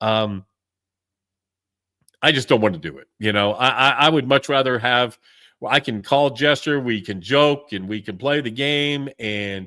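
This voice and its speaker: A man's pitch shows ordinary variation as he talks at a moderate pace. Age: 60s. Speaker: wargaming podcast host. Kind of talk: casual live-stream chat. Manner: halting, frequent repetitions.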